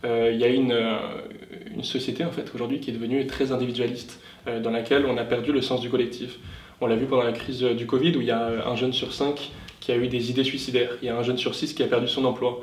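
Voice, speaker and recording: A man with a medium pitch talks at a very fast pace. His delivery is monotone and flat, with audible room echo. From southern France (Tarn). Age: 20s. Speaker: youth political party leader. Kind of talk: interview. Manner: hesitant, many fillers.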